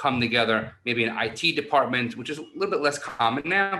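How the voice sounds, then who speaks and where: An animated man with a New York accent, bright and sharp in tone, lively in intonation, at a moderate pace. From New York City. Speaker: university online learning director. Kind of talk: conference presentation.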